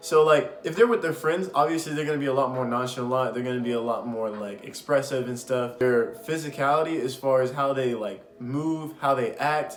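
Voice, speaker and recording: The speech moves at a moderate pace with ordinary pitch variation. Room echo is audible, and background noise is noticeable. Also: man. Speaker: podcast host. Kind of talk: casual advice talk. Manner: loud; animated.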